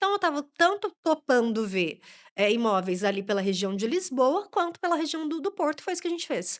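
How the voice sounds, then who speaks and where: A woman's high voice at a very fast pace, with very wide pitch swings, a dry, close sound with no echo, and a very clean recording over a silent background. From Brazil. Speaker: immigration lawyer. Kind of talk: podcast interview. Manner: animated.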